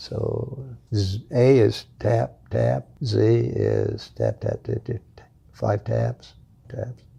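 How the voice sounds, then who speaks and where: The man talks very slowly. There are big swings in his loudness. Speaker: war veteran, former fighter pilot and POW. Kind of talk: interview answer. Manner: hesitant.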